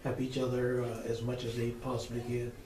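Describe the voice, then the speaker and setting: A man speaks in a flat monotone at medium pitch. Audible room echo and noticeable background noise are present. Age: 70s. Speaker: retired church member. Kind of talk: oral history interview. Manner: halting.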